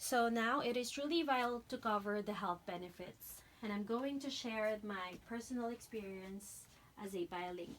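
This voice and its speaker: A woman with a Filipino accent speaks at a moderate pace. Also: fairly high pitch for a woman, ordinary pitch variation. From Philippines. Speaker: dental hygiene student. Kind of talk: class speech. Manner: halting.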